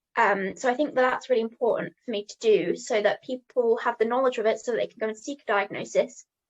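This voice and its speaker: A woman talks very fast with a British accent. Her voice is fairly high, with ordinary pitch variation. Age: 18. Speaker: mental health advocate. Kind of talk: interview. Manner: hesitant, many fillers.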